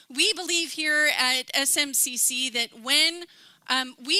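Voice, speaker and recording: A woman speaks in a high, raised and projected voice, with a dry, close sound and no echo. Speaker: pastor. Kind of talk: church welcome announcements. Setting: church service with congregation.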